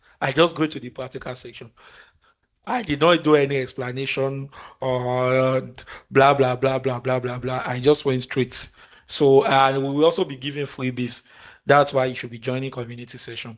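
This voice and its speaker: In a monotone, flat delivery at medium pitch, a man speaks at a moderate pace with big swings in loudness. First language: not English. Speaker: instructor. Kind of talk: live online tutorial. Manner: informal, conversational.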